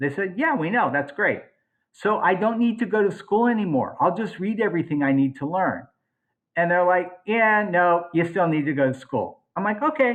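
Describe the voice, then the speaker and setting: A man with a high pitch and an animated tone speaks at a moderate pace with lively intonation. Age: 60s. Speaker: cosmetic dentist. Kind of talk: podcast interview.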